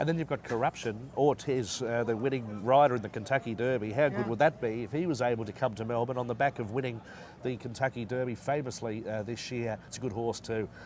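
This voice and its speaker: A man in an Australian accent at a medium pitch, very fast and with hardly any pauses. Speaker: horse race caller. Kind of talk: interview answer. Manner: enthusiastic, casual.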